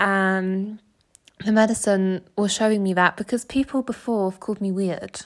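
Woman with an English accent and a medium pitch, on a very clean recording with a silent background. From England, small village. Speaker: podcast host. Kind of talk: solo monologue sharing personal experiences. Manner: casual, chatty with laughs.

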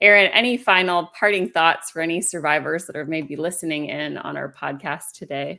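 Her fairly low voice has a bright, sharp tone and vocal fry, moving at a fairly quick pace with hardly any pauses, ordinary pitch variation and big swings in loudness. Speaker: podcast co-host and burn survivor. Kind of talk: casual interview chat.

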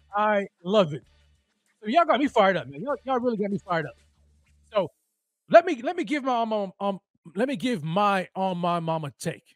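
With music in the background, a high-pitched man speaks in an animated tone at a fairly quick pace, his pitch swinging very widely, with long, frequent pauses and a dry, close sound with no echo. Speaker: sports podcast host. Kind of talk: fan pep talk, rallying the Bills fanbase before the game. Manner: animated, fired-up, hype-man energy; repeats words, rapid and emphatic.

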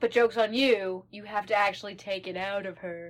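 A put-on character voice delivered at a fairly quick pace. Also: female-sounding voice, medium pitch for a woman. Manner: taunting.

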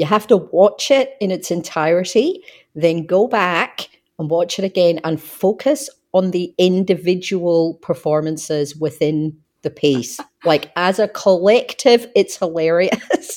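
Delivered at a fairly slow pace, the speech carries lively intonation in an Australian accent. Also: woman, medium pitch for a woman. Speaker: podcast co-host. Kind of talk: casual chat. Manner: hesitant, repeats words.

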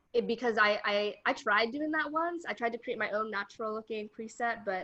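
A woman with a normal speaking voice and an American accent talks at a fairly high pitch and a fairly quick pace with ordinary pitch variation. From Colorado. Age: 20s. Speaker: content creator and teacher. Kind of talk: casual interview.

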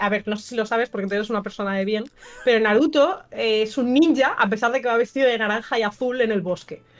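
With ordinary pitch variation, the talking runs at a very fast pace. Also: woman. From Valencia, eastern Spain (Burjassot). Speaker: streamer and film guest. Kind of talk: casual chat.

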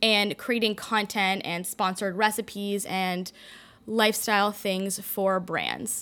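In a Canadian accent, a woman speaks at a fairly slow pace with a bright, sharp tone and flat, monotone intonation. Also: medium pitch for a woman. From Toronto, Canada.

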